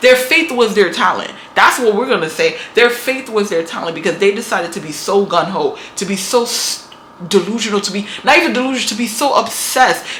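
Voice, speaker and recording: Over noticeable background noise, a woman with an American accent talks at a fairly quick pace, with a fairly high pitch and lively intonation. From New York. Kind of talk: motivational talk to camera. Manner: casual, emphatic.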